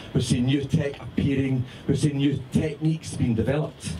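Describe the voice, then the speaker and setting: Lively intonation marks this moderate-paced voice with a Scottish accent. Noticeable background noise and audible room echo surround it. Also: man. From Scotland. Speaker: magazine founder and editor. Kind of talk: speech to party audience. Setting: party with audience.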